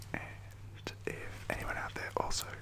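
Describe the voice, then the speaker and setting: A man whispering over noticeable background noise. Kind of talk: ASMR wrestling predictions, casual talk to camera. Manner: whispered.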